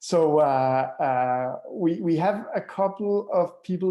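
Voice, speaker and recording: A man is speaking. He has a Danish accent. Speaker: author. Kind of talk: webinar talk. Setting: live online stream. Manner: hesitant with many fillers and repetitions.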